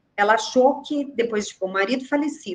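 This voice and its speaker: A woman's plain, everyday voice, fairly high in pitch, at a fairly quick pace. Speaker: care home manager. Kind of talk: webinar panel discussion.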